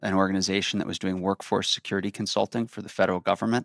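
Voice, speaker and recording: A man speaks at a fairly low pitch in a monotone, flat intonation. The recording is very clean with a silent background, and the sound is dry and close with no echo. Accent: Chicago. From US Midwest, Chicago. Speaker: security organization director. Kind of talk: interview. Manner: hesitant fillers.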